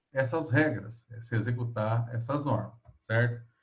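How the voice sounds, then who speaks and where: Somewhat breathy, this man speaks at a fairly slow pace. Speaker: economics lecturer. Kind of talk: online lecture. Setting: video call class.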